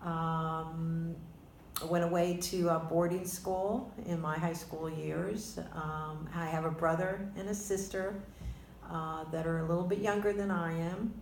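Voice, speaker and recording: Speaking with an American accent, a woman uses a fairly low pitch, fairly even intonation and a fairly slow pace. Noticeable background noise and audible room echo fill the recording. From New York (New Rochelle / Pelham). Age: 60s. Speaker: interviewee, grandmother. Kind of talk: oral history interview. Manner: halting, hesitant.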